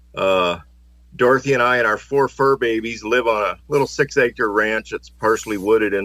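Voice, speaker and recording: A man with an American accent, medium pitch, a moderate pace and an ordinary speaking voice. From US Midwest, northern Ohio. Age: 60s. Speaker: retired steelworker, amateur solar observer. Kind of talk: podcast interview.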